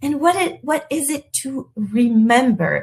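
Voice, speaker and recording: A woman speaks in a French accent. Her voice is somewhat breathy. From France, partly raised in the US. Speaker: elegance coach. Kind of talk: live webinar talk. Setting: livestream with chat. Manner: halting, frequent repetitions.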